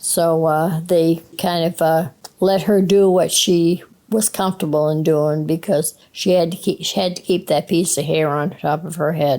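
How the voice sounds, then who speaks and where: A woman with a Maine accent speaks at a fairly slow pace, her fairly low voice held to fairly even intonation. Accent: classic Maine accent, non-rhotic. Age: 70s. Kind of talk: interview answer.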